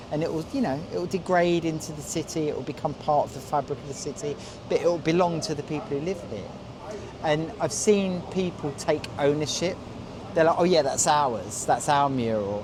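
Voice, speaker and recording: Speech comes at a fairly quick pace with ordinary pitch variation. Noticeable background noise runs underneath. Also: man, fairly high pitch for a man. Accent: London. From London. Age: 50s. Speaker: graffiti artist. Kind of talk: interview. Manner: halting, many fillers and repeats.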